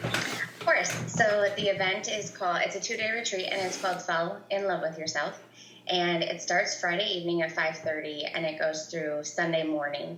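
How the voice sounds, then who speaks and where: A woman with a fairly low pitch and ordinary pitch variation talks at a moderate pace, with noticeable background noise and audible room echo. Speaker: workshop leader and consultant. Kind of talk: podcast interview.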